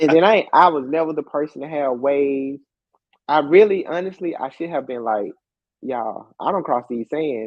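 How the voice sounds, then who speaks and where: Speaking at a moderate pace with ordinary pitch variation, a man with an American accent has a fairly high pitch. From Alabama, US South. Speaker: professor and entrepreneur. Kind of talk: interview. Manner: casual.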